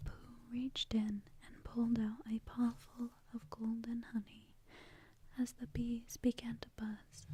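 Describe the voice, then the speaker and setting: The voice is soft-spoken, a whisper delivered at a very slow pace. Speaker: ASMR artist. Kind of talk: ASMR bedtime story reading. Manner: softly spoken, whispering.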